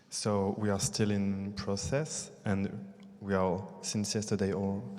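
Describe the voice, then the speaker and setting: A man with a dark, mellow tone and fairly low pitch speaks at a very slow pace. Audible room echo can be heard. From France and Brazil. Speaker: theatre artist. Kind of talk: post-show audience discussion. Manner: halting.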